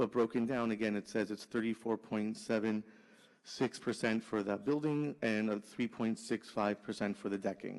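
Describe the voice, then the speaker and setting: Using a plain, everyday voice, a man keeps a medium pitch and fairly even intonation. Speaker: permit agent presenting to zoning board. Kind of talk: formal presentation at public hearing.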